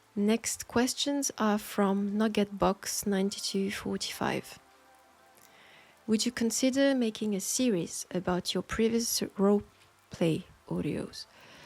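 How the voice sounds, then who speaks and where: Soft-spoken and with a French accent, a woman talks at a fairly slow pace and a medium pitch. Music plays in the background. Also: ordinary pitch variation. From France. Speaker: audio roleplay creator. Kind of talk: Q&A answering listener questions.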